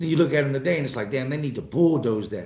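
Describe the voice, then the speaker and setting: A man with an American accent speaks at a fairly high pitch with ordinary variation. His tone is dark, mellow and somewhat breathy. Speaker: YouTuber, home renovation contractor. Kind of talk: live stream chat. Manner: casual, animated.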